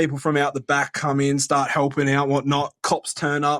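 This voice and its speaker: This man has an Australian accent and a fairly high pitch. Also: dry, close sound with no echo. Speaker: caller. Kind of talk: voicemail anecdote.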